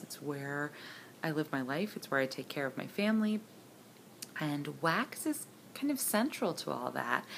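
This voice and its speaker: With light background noise behind her, a woman speaks with lively intonation. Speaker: candle and wax melt enthusiast, scent review contest entrant. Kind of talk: casual talk to camera, product review. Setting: home, with appliances running in the background. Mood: warm, enthusiastic. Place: home room. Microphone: phone near.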